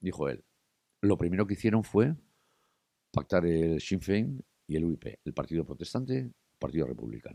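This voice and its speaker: Very deep, low male voice with a dark, mellow tone, very wide pitch swings, moderate pace broken by long, frequent pauses, in dry, close sound with no echo. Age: 60s. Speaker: journalist and TV presenter. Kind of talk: interview conversation.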